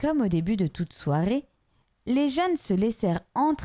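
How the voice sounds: The background stays quiet. A natural reading voice carries the words.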